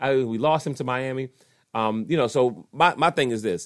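In an ordinary speaking voice, a man with an American accent talks at a moderate pace and medium pitch, his intonation lively. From Washington, D.C. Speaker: sports podcast host. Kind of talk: casual solo sports commentary. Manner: conversational, frequent fillers.

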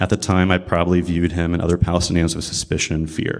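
Talking very fast with a Midwestern American accent, a man's very deep, low voice comes through on a very clean recording with a silent background. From US Midwest (Columbus, Ohio). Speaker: army veteran and baker. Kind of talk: prepared talk at a religious service. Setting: room with live audience.

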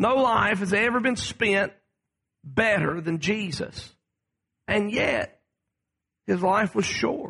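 Projecting a raised voice at very even loudness, a man speaks high-pitched and very slowly, with ordinary pitch variation and long, frequent pauses. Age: 30s. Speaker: pastor. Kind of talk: sermon. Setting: church.

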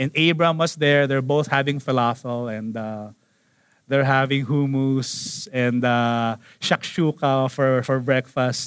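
A man talks at a very slow pace. His pitch is medium and his intonation fairly even. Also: very clean recording, silent background. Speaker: pastor. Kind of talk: sermon. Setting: church auditorium with congregation.

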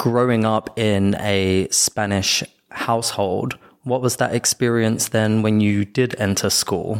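A man with a British accent speaks at a very slow pace in a fairly low pitch with monotone, flat intonation. The sound is dry and close with no echo, and his loudness stays very even. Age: adult. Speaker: podcast host. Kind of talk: casual chat.

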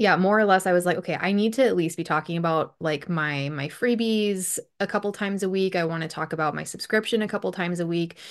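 A woman with an American accent, fairly low pitch, ordinary pitch variation, a very fast pace with hardly any pauses, and a quiet background. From US Upper Midwest, Bismarck, North Dakota. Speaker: hairstylist and Instagram marketing coach. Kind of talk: casual interview chat.

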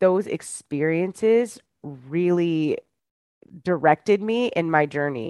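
Lively intonation and a very slow pace mark this voice with an American accent. The sound is dry and close with no echo, against a quiet background. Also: woman. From Michigan. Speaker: stage actress and life coach. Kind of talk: interview.

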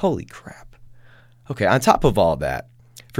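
Animated in tone, a man speaks with vocal fry. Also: very clean recording, silent background. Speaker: comedy podcast host. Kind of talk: comedic solo podcast monologue.

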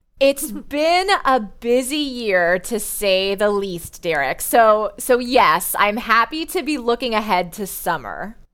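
Her pace is very slow, yet this woman leaves hardly any pauses. Her pitch swings very widely. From US Midwest, Indiana. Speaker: school counselor and AP coordinator. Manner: polished, professional.

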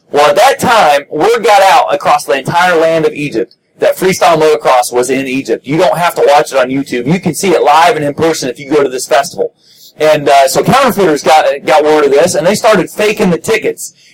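Fairly fast, fairly high male speech in an unremarkable speaking voice, with ordinary pitch movement. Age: 40s. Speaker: motocross chaplain. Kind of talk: sermon.

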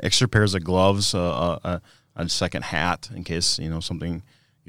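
In a very clean recording with a silent background, a man with a Minnesota accent and a very deep, low pitch talks at a fairly quick pace. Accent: Upper Midwest (northern Minnesota). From northern Minnesota. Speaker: product manager and ice fisherman. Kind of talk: casual interview. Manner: halting, many fillers.

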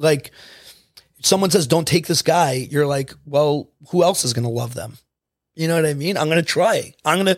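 Here a man talks at a moderate pace in a normal speaking voice. His pitch sits fairly high and varies in an ordinary way. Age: 30s. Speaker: addiction program coordinator. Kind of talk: casual chat.

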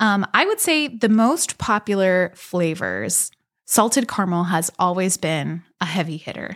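Speaking fairly slowly with an American accent, a woman has an unremarkable speaking voice of medium pitch and ordinary pitch variation, recorded dry and close with no echo. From Pittsburgh area, Pennsylvania (South Hills). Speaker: bakery owner. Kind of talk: interview conversation.

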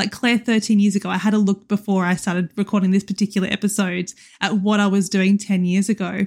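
A woman speaks very fast at a medium pitch, somewhat breathy, in a monotone, flat delivery with very even loudness, recorded dry and close with no echo, very clean against a silent background. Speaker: teacher and podcast host. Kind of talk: solo podcast monologue. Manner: casual, with filler ums.

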